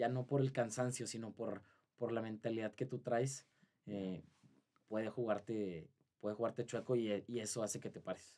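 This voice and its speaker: A man talks at a moderate pace. His tone is dark and mellow, his intonation fairly even. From Saltillo, Mexico; Mexico. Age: 20s. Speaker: marathon runner; podcast guest. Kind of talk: interview. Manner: halting. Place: studio. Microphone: studio mic.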